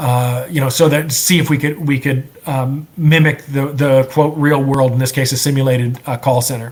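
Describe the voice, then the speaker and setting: With hardly any pauses, a man speaks in a fairly high voice with monotone, flat intonation over noticeable background noise. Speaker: software entrepreneur presenter. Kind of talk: presentation. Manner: fast; halting with repetitions.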